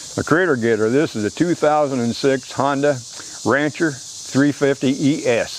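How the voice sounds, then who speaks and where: A man with fairly even intonation and a medium pitch talks amid noticeable background noise. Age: 80s+. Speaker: outdoors show host, hunter. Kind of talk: casual product show-and-tell. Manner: folksy, conversational.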